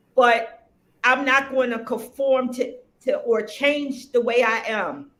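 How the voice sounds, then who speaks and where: Against audible room echo, a woman with a high pitch speaks at a very slow pace and keeps her intonation fairly even. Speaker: spiritual practitioner and shop owner. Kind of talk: interview conversation.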